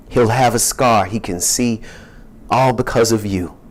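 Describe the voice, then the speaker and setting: Music plays in the background as a man with an American accent talks at a fairly slow pace in a medium pitch. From US South, Louisiana (Shreveport). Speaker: poet. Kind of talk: casual audience chat; poetry reading.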